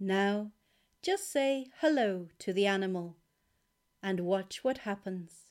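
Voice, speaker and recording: Someone speaks very slowly in a soothing, calm tone, with ordinary pitch variation and long, frequent pauses, on a very clean recording with a silent background. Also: woman, medium pitch for a woman. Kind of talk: guided meditation. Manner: slow, calm, gently paced with long pauses; soft-spoken, soothing and encouraging.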